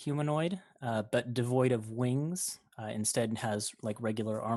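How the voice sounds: The pitch shows ordinary variation across a natural reading voice.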